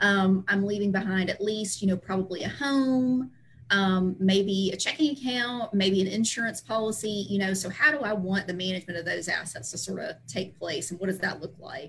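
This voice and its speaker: A woman speaks with a Southern US accent at a medium pitch and moderate pace. Her pitch varies in an ordinary way, and she hardly pauses. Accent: Southern American. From US South, Tennessee (Chattanooga area). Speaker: estate planning attorney. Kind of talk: interview, explanatory.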